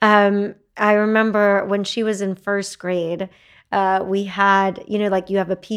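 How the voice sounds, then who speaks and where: This woman speaks with an American accent. Her pitch sits in the medium range. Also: very clean recording, silent background. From Texas. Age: 40s. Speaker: entrepreneur. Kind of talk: casual interview.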